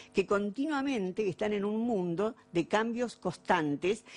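The speaker moves at a fairly slow pace with lively intonation. Faint music plays in the background. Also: woman. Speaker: philosopher; lecturer. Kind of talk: lecture. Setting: stage with audience, streamed. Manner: hesitant, with frequent fillers. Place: hall. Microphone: podium.

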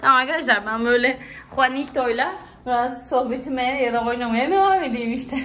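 This woman has a high pitch with ordinary pitch variation. Her pace is moderate. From Turkey. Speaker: travel vlogger. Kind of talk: casual vlog. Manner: animated. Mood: warm, affectionate. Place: home room. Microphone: phone near.

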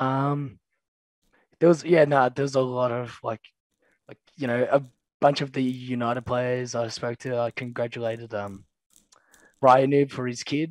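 A man with an Australian accent speaks at medium pitch and a moderate pace, with fairly even intonation. His loudness swings widely, and he takes long, frequent pauses. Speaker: pro esports player. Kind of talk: casual chat. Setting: video call.

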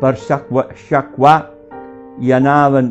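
A man with an Emilian accent speaks very slowly at a medium pitch. Music plays in the background. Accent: local Emilian dialect of Varsi. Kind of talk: dialect poetry reading.

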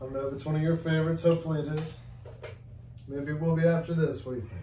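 A man at a very fast pace, fairly even intonation, audible room echo and light background noise. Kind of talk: casual vlog chat. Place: home room. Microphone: camera far.

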